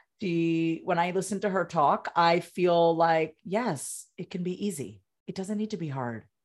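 In an American accent, a woman with a plain, everyday voice speaks at a fairly low pitch with ordinary pitch variation on a very clean recording with a silent background. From Long Island, New York. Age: 40s. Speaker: therapist and communication coach. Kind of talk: interview.

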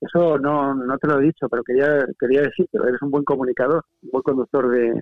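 A man talks at a fairly quick pace in a fairly high voice, his intonation monotone and flat. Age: 40s. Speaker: writer. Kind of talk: casual chat.

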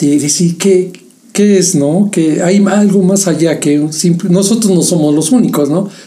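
A man's high-pitched voice with ordinary pitch variation at a fairly slow pace, plus audible room echo and noticeable background noise. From Mexico. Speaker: podcast co-host. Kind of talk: casual chat.

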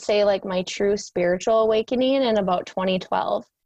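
The speaker talks at a moderate pace in an Upper Midwest accent, with ordinary pitch variation. The background is quiet, and the sound is dry and close with no echo. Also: woman. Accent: Upper Midwest American. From rural Minnesota. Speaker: spiritual coach. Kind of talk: interview.

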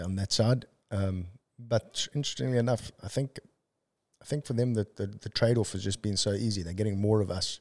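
A man with a South African accent speaks at a fairly quick pace, his pitch fairly low and his intonation fairly even. The recording is very clean with a silent background, and the sound is dry and close with no echo. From South Africa (Durban). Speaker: entrepreneur. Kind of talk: casual chat.

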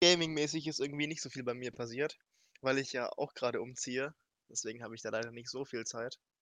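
A man talks very fast at a medium pitch, keeping his intonation fairly even. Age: 20s. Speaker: speedrunner and streamer. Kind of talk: casual chat.

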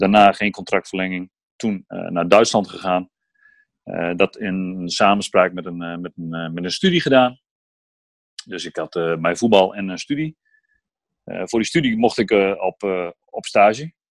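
Over a quiet background with a dry, close sound and no echo, a man with a fairly low voice and ordinary pitch variation speaks at a fairly slow pace, his loudness swinging widely and his speech broken by long, frequent pauses. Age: 30s. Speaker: entrepreneur, former footballer. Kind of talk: interview. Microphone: laptop instead of phone, sound may differ.

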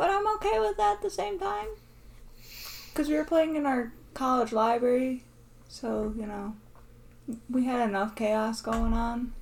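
Noticeable background noise sits behind a woman speaking at a high pitch with lively intonation. She leaves long, frequent pauses. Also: moderate pace. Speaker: podcast host. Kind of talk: casual chat.

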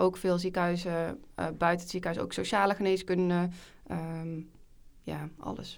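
A woman's plain, everyday voice, fairly low in pitch, with fairly even intonation and a fairly slow pace. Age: 20s. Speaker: junior doctor. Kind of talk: casual chat.

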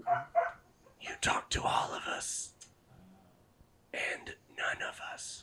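Whispering very slowly, a man uses a raspy put-on character voice. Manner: eerie, mystical.

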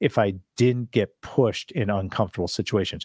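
A man speaks in an ordinary speaking voice at a fairly low pitch and a fairly quick pace, with ordinary pitch variation. The very clean recording has a silent background and a dry, close sound with no echo. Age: 50s. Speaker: commercial real estate investor. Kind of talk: interview.

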